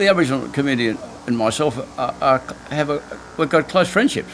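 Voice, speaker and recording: A man at medium pitch with an Australian accent, talking at a very fast pace with lively intonation over noticeable background noise. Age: 70s. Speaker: island hermit, ex-businessman. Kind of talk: interview answer.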